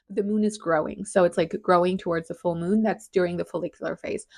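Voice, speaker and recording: A woman at medium pitch with a non-native accent, speaking at a fairly quick pace over a quiet background. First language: not English. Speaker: podcast host. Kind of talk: casual explanatory monologue. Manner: casual, hesitant with fillers.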